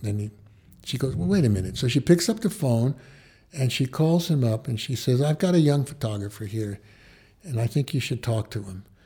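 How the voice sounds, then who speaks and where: Dark, mellow, somewhat breathy male voice at medium pitch, fairly quick and with lively intonation, on a very clean recording with a silent background. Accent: American. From New York City (the Bronx). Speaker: retired photojournalist and TV writer. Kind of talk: interview.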